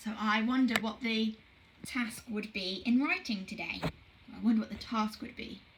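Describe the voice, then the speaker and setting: A woman with a fairly high pitch speaks at a moderate pace with ordinary pitch variation, over noticeable background noise. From southern England, South Coast. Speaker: primary school teacher. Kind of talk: online phonics lesson for children. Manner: clear, encouraging teacher voice.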